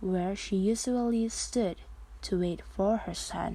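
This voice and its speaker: A woman speaks at medium pitch with a somewhat breathy voice. Her intonation is fairly even. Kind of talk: read story.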